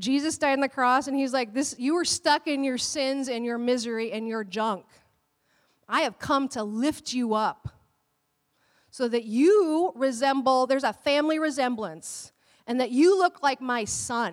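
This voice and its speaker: The voice is loud and animated. It moves at a moderate pace. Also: woman, high pitch for a woman. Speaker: pastor. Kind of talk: sermon. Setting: church.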